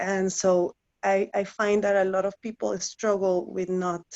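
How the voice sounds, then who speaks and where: A woman with a non-native accent at a fairly slow pace. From Guatemala, Guatemala City. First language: Spanish. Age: 30s. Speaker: career coaching client. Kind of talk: interview. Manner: halting, many fillers and repetitions.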